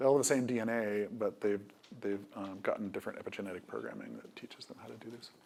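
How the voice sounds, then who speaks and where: A man speaks quietly and very fast, his loudness swinging widely over noticeable background noise. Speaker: biotech company CEO. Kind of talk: panel conversation. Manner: hesitant, many fillers.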